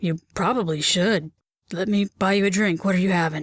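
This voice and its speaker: A woman uses a raspy, put-on character voice at a moderate pace, with a dry, close sound and no echo. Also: medium pitch for a woman. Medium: audio drama. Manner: warm, friendly.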